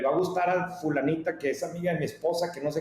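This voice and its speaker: Animated, fairly quick speech from a man with a Mexican accent and a high pitch, with audible room echo and noticeable background noise. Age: 40s. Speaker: media company founder. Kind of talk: interview.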